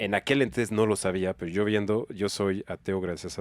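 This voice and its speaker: Here a man speaks at a moderate pace, fairly low in pitch and monotone, with flat intonation. The recording is very clean with a silent background and a dry, close sound with no echo. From France. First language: French (speaking Spanish). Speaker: business organization director. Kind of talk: casual podcast interview.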